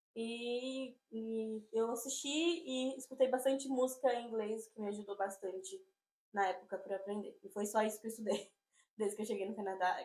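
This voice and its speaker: A woman talks at a moderate pace in an ordinary speaking voice. Her pitch is fairly high, with ordinary pitch variation. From Brazil, São Paulo (Diadema). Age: 20s. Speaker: immigrant interviewee. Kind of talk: interview.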